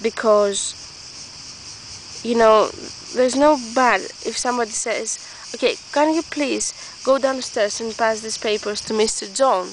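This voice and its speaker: A woman with a non-native accent speaks fairly slowly at a fairly high pitch, with ordinary pitch variation and long, frequent pauses. Background noise is noticeable. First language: not English. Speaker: vlogger. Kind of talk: casual monologue vlog. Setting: outdoors in the woods. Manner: halting, many restarts.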